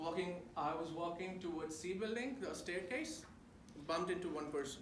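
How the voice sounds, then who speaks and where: Someone with an Indian accent speaks at a moderate pace with ordinary pitch variation, amid audible room echo and noticeable background noise. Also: man, high pitch for a man. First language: not English. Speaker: speaker at a student talk event. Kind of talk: talk to a live audience. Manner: casual, with fillers and restarts.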